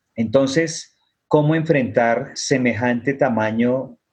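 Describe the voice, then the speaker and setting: A man at a very slow pace with fairly even intonation. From Colombia. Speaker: author and activist. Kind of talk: panel discussion. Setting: video call.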